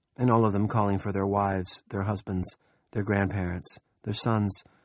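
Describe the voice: The background stays quiet. Someone does plain reading aloud.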